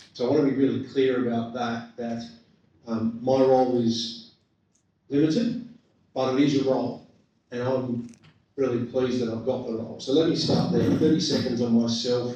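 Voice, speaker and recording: In an Australian accent, a man with a dark, mellow tone and medium pitch speaks at a moderate pace in a monotone, flat intonation, leaving long, frequent pauses amid audible room echo. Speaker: government commissioner. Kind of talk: public talk. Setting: community meeting with microphone. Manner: loud.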